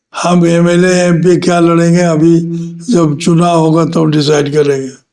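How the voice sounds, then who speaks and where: A high male voice with monotone, flat intonation and very even loudness, with audible room echo. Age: 70s. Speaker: former politician. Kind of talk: interview.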